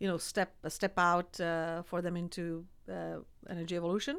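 A woman with a Czech accent and a medium pitch, on a very clean recording with a silent background. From Czech Republic, small village. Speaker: energy company executive. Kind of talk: interview.

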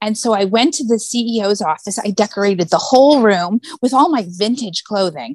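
At a moderate pace, a woman with an American accent uses an ordinary speaking voice at medium pitch with lively intonation. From US West Coast (San Diego area). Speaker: glass mosaic artist and designer. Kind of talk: casual chat.

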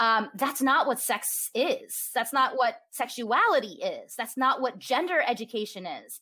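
A woman's high, bright, sharp voice, raised and projected, fairly slow with hardly any pauses and lively intonation. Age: 30s. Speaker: sex educator. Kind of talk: interview.

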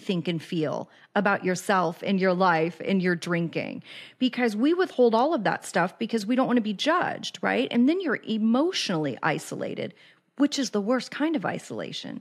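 Speaking with an American accent, a woman has a fairly high pitch that swings very widely, at a moderate pace. Her loudness stays very even on a very clean recording with a silent background. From Kansas City, US Midwest. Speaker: addiction recovery podcaster and life coach. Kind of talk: casual interview conversation.

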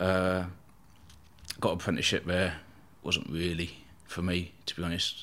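Speaking in a southern English accent, a man has a very deep, low voice. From southern England, Eastbourne, East Sussex. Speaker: bodyguard. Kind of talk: casual chat.

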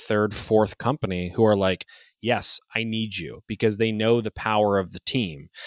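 A man with an American accent speaks in an unremarkable speaking voice, fairly low with ordinary pitch variation, on a very clean recording with a silent background and a dry, close sound with no echo. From Ohio, US Midwest (Youngstown). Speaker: medtech consulting founder and podcast host. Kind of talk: casual interview.

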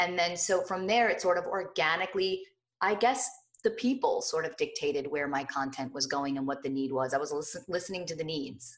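Speaking at a fairly quick pace with lively intonation and an American accent, this is an unremarkable speaking voice. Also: woman, fairly low pitch for a woman. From New Jersey. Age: 30s. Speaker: lifestyle blogger. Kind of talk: interview.

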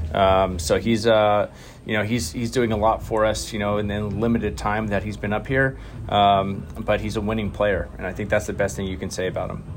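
A man with a normal speaking voice and a fairly low pitch talks at a fairly quick pace. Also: fairly even intonation. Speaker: baseball manager. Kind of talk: post-game interview.

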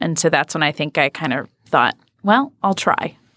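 At a moderate pace, a woman with a Midwestern American accent speaks at a fairly low pitch, recorded dry and close with no echo. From Michigan. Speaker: grassroots activist. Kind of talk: interview.

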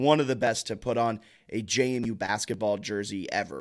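A man with an ordinary speaking voice talks at a medium pitch with lively intonation. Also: very clean recording, silent background. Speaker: sports podcast host. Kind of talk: casual chat. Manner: casual, chatty.

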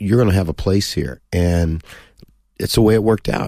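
On a very clean recording with a silent background, a man with a very deep, low pitch and a dark, mellow tone talks at a fairly quick pace. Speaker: football coach and TV pundit. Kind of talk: casual interview chat. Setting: studio.

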